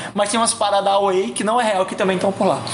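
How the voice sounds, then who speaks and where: A man talks at a high pitch. Noticeable background noise is present. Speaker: podcast guest. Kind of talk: casual chat.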